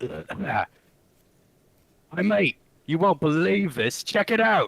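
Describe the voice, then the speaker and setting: A man puts on a character voice at a high pitch. He speaks at a very slow pace. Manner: poor, unconvincing impression.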